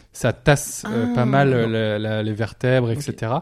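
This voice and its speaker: A man at a very slow pace and medium pitch, with fairly even intonation, in a very clean recording with a silent background. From northern France. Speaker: former motocross rider and athlete. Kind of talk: interview.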